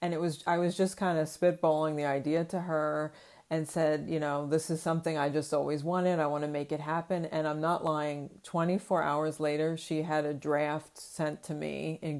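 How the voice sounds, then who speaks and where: Very deep and low, a woman's voice runs at a moderate pace in a flat monotone with hardly any pauses. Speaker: children's book creator and illustrator. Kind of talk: casual interview. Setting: video call.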